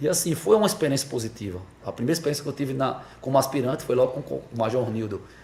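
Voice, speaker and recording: Speaking at a very fast pace, a man uses lively intonation at a medium pitch. Noticeable background noise sits behind him. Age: 40s. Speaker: police officer. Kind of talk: interview. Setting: podcast studio in a barbershop. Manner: hesitant with repetitions.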